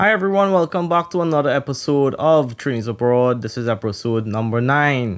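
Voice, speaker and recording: On a very clean recording with a silent background, a man in a Trinidadian accent talks at a fairly quick pace with hardly any pauses, his fairly high pitch carried by lively intonation. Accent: Trinidadian, still present. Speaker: podcast co-host. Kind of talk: casual podcast chat.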